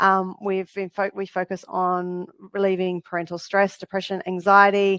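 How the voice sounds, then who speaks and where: In an Australian accent, a woman talks at a medium pitch. The sound is dry and close, with no echo. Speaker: counsellor and parenting program founder. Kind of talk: educational webinar. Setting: live online webinar. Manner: fast.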